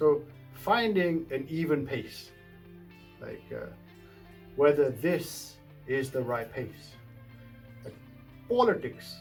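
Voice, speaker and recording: With music in the background, a man speaks at a very slow pace in a fairly high pitch, his intonation lively, his loudness swinging widely, and his pauses long and frequent. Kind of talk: casual talk to camera.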